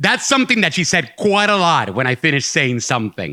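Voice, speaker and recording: With a bright, sharp tone and very wide pitch swings, a man speaks at a fairly high pitch in a dry, close sound with no echo. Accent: Puerto Rican. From Puerto Rico. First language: Spanish. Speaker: storyteller. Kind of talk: live storytelling performance. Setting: stage with audience.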